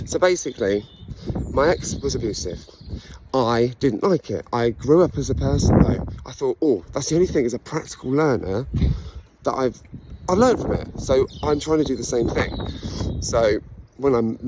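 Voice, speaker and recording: A man with an English accent speaks at a medium pitch with lively intonation over noticeable background noise. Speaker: vlogger sharing personal story. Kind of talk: personal monologue. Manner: fast; halting.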